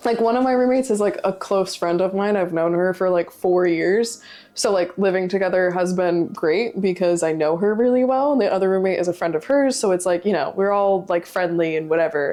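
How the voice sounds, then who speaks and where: Speaking at a fairly quick pace with hardly any pauses, a woman has a dark, mellow tone and ordinary pitch variation. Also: medium pitch for a woman, very even loudness. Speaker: livestreamer. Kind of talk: casual chat. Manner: loud; animated.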